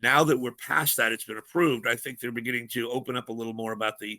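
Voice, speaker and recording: Talking at a very fast pace, a man uses an animated tone at medium pitch. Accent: American. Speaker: freight industry analyst. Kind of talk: podcast interview. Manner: animated, conversational.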